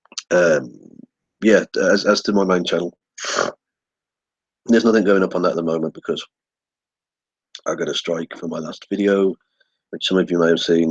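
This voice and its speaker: In a dry, close recording with no echo, a man speaks with a very deep, low pitch and fairly even intonation. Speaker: YouTuber. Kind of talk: casual vlog. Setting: webcam recording. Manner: hesitant, many fillers. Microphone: built-in laptop microphone.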